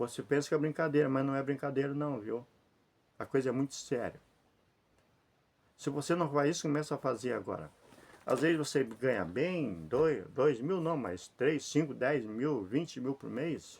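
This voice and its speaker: With vocal fry and a fairly high pitch, a man speaks at a moderate pace with ordinary pitch variation and long, frequent pauses. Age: 60s. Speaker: lay preacher. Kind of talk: informal sermon to camera. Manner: repetitive, conversational.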